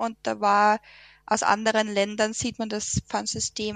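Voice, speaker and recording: A woman with a Lower Austrian accent talks at a fairly slow pace in a dry, close recording with no echo. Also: quiet background. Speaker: environmental volunteer. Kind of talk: radio interview. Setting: radio studio.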